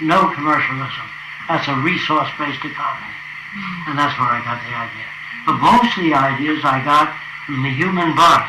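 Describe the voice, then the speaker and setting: A man speaks at a moderate pace with ordinary pitch variation. Noticeable background noise runs under his voice. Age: 80s+. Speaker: futurist. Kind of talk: casual talk to visitors about his ideas.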